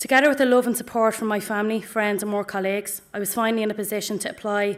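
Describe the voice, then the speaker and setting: A woman talks at a very fast pace and medium pitch. Her intonation is a flat monotone, in a Dublin accent. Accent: Dublin inner city. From Ireland, Dublin north inner city. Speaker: pharmacy graduate. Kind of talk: ceremony speech. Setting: auditorium with audience.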